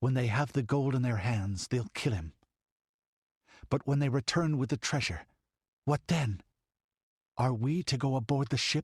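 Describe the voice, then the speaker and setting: Putting on a character voice, a man speaks in a strained, medium-pitched voice at a moderate pace with ordinary pitch variation, the recording very clean with a silent background and a dry, close sound with no echo. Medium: read story.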